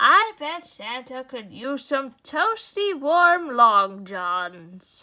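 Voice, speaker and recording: Using a put-on character voice, a woman speaks at a very slow pace with hardly any pauses, her high pitch swinging very widely and her loudness rising and falling sharply. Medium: read story. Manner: warm, gently correcting.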